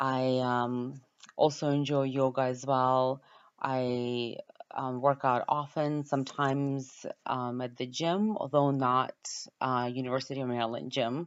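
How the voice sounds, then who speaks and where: With a Ukrainian accent, a woman speaks at a fairly slow pace. Her voice is very deep and low, with fairly even intonation. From Ukraine. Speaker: university student. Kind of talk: class introduction video. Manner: hesitant, many filler words.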